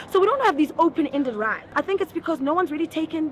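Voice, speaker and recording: Over noticeable background noise, a woman with a high pitch speaks at a very fast pace with ordinary pitch variation. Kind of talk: street interview.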